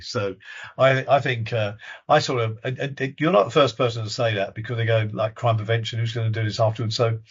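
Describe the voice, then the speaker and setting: Talking at a very fast pace, a man with a medium pitch sounds somewhat breathy, his intonation fairly even. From southern England. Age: 70s. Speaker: retired police officer. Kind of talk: interview. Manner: halting, many repetitions.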